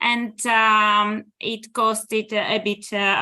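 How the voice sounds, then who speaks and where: The tone is bright and sharp. It comes with a Greek accent. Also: woman. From Greece. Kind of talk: presentation talk. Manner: hesitant with many fillers.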